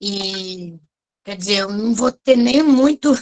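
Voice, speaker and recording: The woman's pitch is fairly high and her intonation lively. She speaks at a very slow pace. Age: 60s. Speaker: course facilitator. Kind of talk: casual chat.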